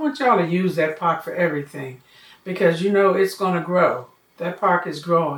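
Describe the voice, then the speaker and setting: A woman with a plain, everyday voice and an American accent speaks at a moderate pace in a medium pitch. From Washington DC, Anacostia. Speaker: community elder. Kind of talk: oral history interview.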